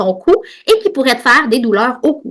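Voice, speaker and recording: A woman's bright, sharp voice in a Quebec accent. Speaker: podcast host and osteopath. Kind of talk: educational monologue. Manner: fast; animated.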